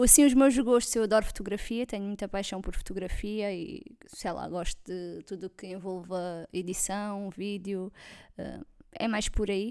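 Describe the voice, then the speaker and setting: On a very clean recording with a silent background, the speaker talks at a fairly slow pace with a slight Alentejo accent, a dark, mellow tone, ordinary pitch variation and big swings in loudness. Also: woman, medium pitch for a woman. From Portugal, Alentejo (Vendas Novas). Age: 20s. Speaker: podcast co-host, forensic technician. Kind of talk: casual chat.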